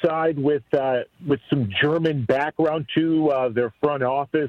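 A man's plain, everyday voice, fairly high in pitch, with ordinary pitch variation at a moderate pace. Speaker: play-by-play announcer. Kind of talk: casual sports betting chat.

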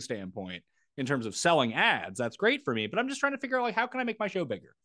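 Rattling with vocal fry, a man speaks at a very fast pace with a fairly high pitch and very wide pitch swings. His tone is bright and sharp, and the background is quiet. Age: 30s. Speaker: sports betting and fantasy content creator. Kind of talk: casual chat.

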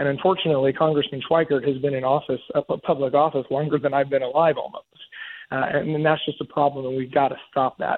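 A man with a fairly high pitch speaks at a very fast pace. His intonation is monotone and flat. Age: 30s. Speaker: congressional candidate and business owner. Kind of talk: radio interview. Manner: halting, many fillers and repeated words.

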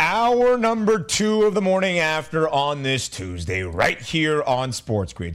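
A fairly high male voice with pitch that leaps very widely. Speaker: sports betting radio host. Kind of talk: radio dj patter: brisk, polished sports-betting show opener and segment teases with hype. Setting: radio studio, live with co-host. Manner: fast, upbeat, energetic broadcaster delivery.

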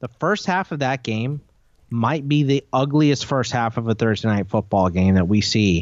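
With an ordinary speaking voice, a man talks at a moderate pace and medium pitch with lively intonation, recorded dry and close with no echo. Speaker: fantasy football radio co-host. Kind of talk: casual sports talk radio chat. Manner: casual, joking.

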